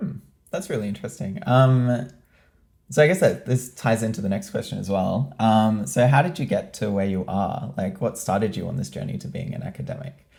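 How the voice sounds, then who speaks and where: A man speaks with an Australian accent and very wide pitch swings. Music plays in the background. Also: medium pitch for a man, fairly quick pace. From Australia, Newcastle. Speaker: student podcast host. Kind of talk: interview. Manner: hesitant, many ums.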